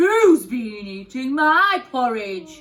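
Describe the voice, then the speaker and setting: A woman puts on a high-pitched character voice with very wide pitch swings. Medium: read story.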